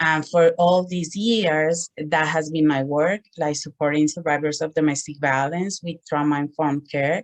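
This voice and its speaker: With music in the background, a woman with a Spanish accent speaks in a very deep, low voice at a moderate pace, with fairly even intonation, hardly any pauses, and a dry, close sound with no echo. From Colombia. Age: 40s. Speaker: social work student and domestic violence advocate. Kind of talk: presentation.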